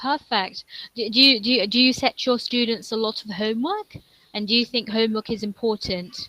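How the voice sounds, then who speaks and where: A woman's bright, sharp, fairly high-pitched voice at a fairly quick pace, with fairly even intonation and a dry, close sound with no echo. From England, London. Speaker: online English tutor. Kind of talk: online English conversation lesson.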